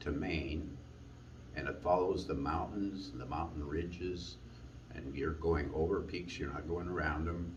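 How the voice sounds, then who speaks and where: With audible room echo, a man with a very deep, low pitch speaks at a fairly slow pace and ordinary pitch variation. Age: 70s. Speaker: long-distance hiker. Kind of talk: personal testimony.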